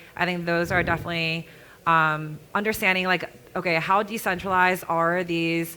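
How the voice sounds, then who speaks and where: A loud woman with a fairly low pitch, a bright, sharp tone, monotone, flat intonation and a moderate pace on a very clean recording with a silent background. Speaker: developer relations lead, panelist. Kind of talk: panel discussion.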